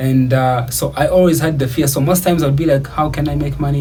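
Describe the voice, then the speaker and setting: With noticeable background noise and audible room echo, a man talks very fast with fairly even intonation. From Uganda. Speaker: YouTuber. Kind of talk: personal story monologue. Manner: casual, many filler words.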